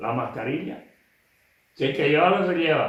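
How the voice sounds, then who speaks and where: A man talks with audible room echo around him. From Canary Islands, Fuerteventura. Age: 80s+. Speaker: elderly interviewee giving oral history. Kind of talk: oral history interview. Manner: casual, earthy.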